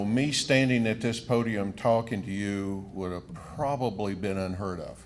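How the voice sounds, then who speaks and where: In an American accent, a man speaks at a fairly slow pace with a fairly low pitch and ordinary pitch variation. Audible room echo is present. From southern Wisconsin. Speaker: economic development official. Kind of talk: speech at podium. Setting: stage with audience.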